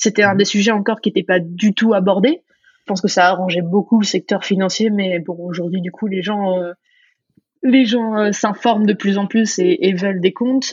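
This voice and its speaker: A woman talks in a medium pitch with a somewhat breathy quality. Her intonation stays fairly even. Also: moderate pace. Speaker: startup co-founder. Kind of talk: interview conversation.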